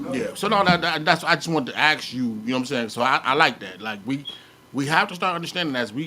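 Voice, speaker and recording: Against noticeable background noise, a man with a fairly high pitch talks very fast with lively intonation. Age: 40s. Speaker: podcast host. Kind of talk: casual chat.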